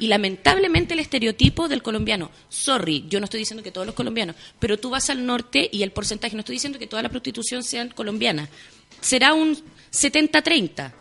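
Animated woman with a Chilean accent, fairly high in pitch, fairly quick, with very wide pitch swings and big shifts in loudness. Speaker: actress. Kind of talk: casual chat. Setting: radio studio. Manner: animated, storytelling.

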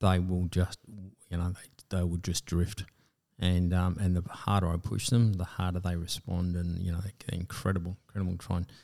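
A man's very deep, low voice with an Australian accent, dark and mellow in tone, monotone and flat, at a moderate pace, on a very clean recording with a silent background. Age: 50s. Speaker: military veteran and pilot. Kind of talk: interview. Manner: halting.

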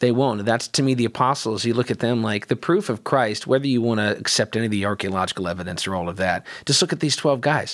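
A man at a medium pitch, talking very fast with hardly any pauses and ordinary pitch variation. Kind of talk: casual chat. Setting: studio. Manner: quieter than the other speaker.

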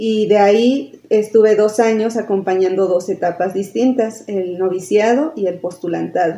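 A dark, mellow tone at a fairly slow pace. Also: woman. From Mexico, Tulancingo, Hidalgo. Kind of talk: casual chat.

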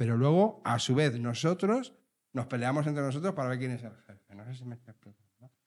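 Very fast in pace, a man speaks at a medium pitch. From Spain, Leganés (Madrid). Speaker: podcast host. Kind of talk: casual chat. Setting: recording with live audience.

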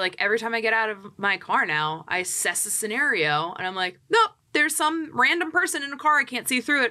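A woman with an American accent talks fairly quickly in a fairly high voice, her animated tone carried by very wide pitch swings. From US Northeast, Philadelphia area. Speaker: real estate agent. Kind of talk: casual chat.

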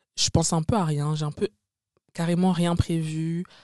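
Over a quiet background, a woman with a dark, mellow tone and a very deep, low pitch speaks at a moderate pace in a dry, close sound with no echo. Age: 20s. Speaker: podcaster. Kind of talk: casual monologue. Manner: chatty, filler-heavy.

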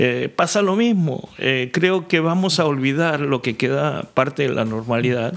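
Using an ordinary speaking voice, a man talks at a fairly slow pace with hardly any pauses and a fairly high pitch. His intonation is lively and his loudness very even. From Argentina. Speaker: pastor.

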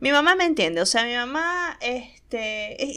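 With a Maracaibo Venezuelan accent, a woman speaks fairly slowly in a bright, sharp, animated tone, her pitch swinging very widely. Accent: Maracaibo Venezuelan Spanish, voseo. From Venezuela, Maracaibo. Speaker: podcast host. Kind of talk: casual monologue.

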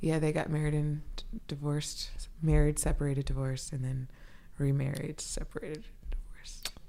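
Audible room echo around a woman's fairly quick speech. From US South, Atlanta, Georgia. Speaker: education human resources partner, former teacher. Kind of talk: casual interview.

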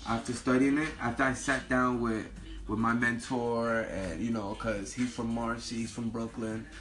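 A man with an American accent speaks at a moderate pace and a medium pitch. His intonation is monotone and flat, with noticeable background noise. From Newark, New Jersey. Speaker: rapper. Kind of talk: casual interview. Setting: radio studio.

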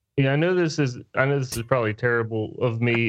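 Against a quiet background, a man with an American accent speaks in an unremarkable speaking voice at a medium pitch with ordinary pitch variation. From West Virginia. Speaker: podcast co-host, builder. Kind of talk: casual chat.

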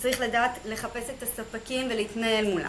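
At a moderate pace, the speech comes with audible room echo and noticeable background noise. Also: woman. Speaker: Amazon seller, business owner. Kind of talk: interview.

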